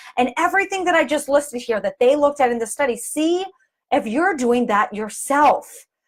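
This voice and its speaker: The voice is loud, with lively intonation. The pace is moderate. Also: woman. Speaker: physical therapist and performer. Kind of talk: live video talk explaining a study. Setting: live video. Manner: halting, self-correcting.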